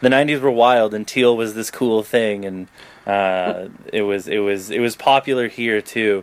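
Speaking at a fairly slow pace, a man with a Canadian accent and a plain, everyday voice keeps a fairly low pitch and fairly even intonation. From Toronto, Canada. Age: 20s. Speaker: podcast host and writer. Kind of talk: casual chat.

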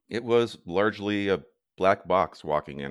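On a very clean recording with a silent background, a man with an American accent speaks at a fairly slow pace. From US upper Midwest, Lake Superior shore. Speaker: mountaineer and project founder. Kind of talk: interview.

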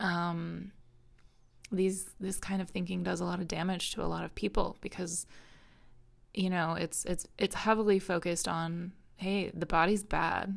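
A woman with an American accent speaks at a moderate pace and fairly low pitch, her intonation flat and monotone, with long, frequent pauses. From Minnesota, US. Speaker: podcast host. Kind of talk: personal monologue. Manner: hesitant with frequent fillers.

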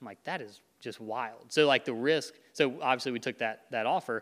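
A normal speaking voice comes from this man, pitched in the medium range. The rise and fall of his pitch is ordinary. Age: 30s. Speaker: real estate agent. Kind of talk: casual chat. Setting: studio.

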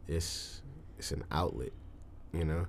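Audible room echo surrounds the recording. A man talks at a very deep, low pitch. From Detroit, Michigan. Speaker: musician. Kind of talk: casual chat.

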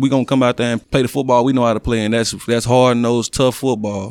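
A man talks at a medium pitch. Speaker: college football defensive lineman. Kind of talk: casual interview.

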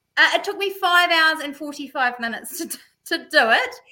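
Raising and projecting her voice, a woman with a New Zealand accent speaks fast-ish and high-pitched in a bright, sharp tone, her pitch swinging very widely at a fairly quick pace. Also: big swings in loudness. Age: 40s. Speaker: amateur mountain biker. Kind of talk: casual chat.

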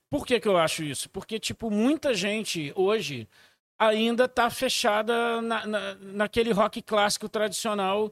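Heard in a very clean recording with a silent background and a dry, close sound with no echo, a man speaks at high pitch and a fairly slow pace. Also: ordinary pitch variation. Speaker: record label owner. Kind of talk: casual chat.

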